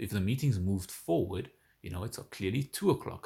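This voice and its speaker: A man talks at a fairly quick pace with lively intonation and a somewhat breathy sound. The recording is very clean, with a silent background. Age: 20s. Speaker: podcast co-host. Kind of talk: casual chat.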